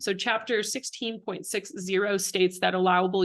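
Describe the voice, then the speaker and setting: Her intonation is fairly even and her pitch medium. The woman talks at a fairly quick pace. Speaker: city planning staff. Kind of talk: staff report presentation. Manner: fast; formal.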